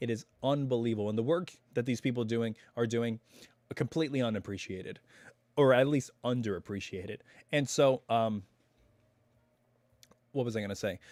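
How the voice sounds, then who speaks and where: Music plays behind a man speaking at a fairly quick pace with long, frequent pauses. His pitch is medium, with ordinary variation. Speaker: YouTube reaction channel host. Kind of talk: casual live stream talk. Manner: relaxed, chatty.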